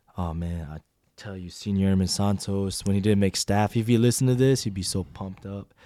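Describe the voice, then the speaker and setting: The voice has a dark, mellow tone and an American accent, with fairly even intonation. It moves at a fairly quick pace with big swings in loudness. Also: man, fairly low pitch for a man, very clean recording, silent background. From US Pacific Northwest, Washington. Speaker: podcast host, military member. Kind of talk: casual chat.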